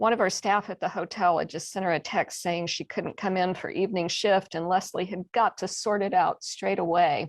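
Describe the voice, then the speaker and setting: A woman's medium-pitched voice with a Texas accent, moderate pace and fairly even intonation, over a quiet background. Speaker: mystery novelist. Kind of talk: reading aloud.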